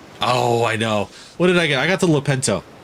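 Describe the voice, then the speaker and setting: A man's voice over noticeable background noise. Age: 40s. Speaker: gaming streamer. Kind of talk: live stream gameplay commentary. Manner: casual, halting with fillers.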